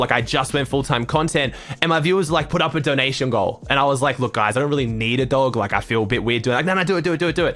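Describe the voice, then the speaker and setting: Someone with an Australian accent talks at a very fast pace. Music plays in the background. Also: man. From Australia, Sydney. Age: 20s. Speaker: Fortnite streamer. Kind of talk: casual chat.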